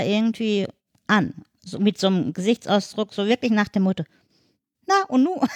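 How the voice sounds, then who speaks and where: A woman with an ordinary speaking voice talks at a medium pitch and a fairly quick pace, her intonation lively. The recording is very clean and dry, close with no echo, over a silent background. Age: 50s. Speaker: wheelchair user and mother. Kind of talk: casual chat.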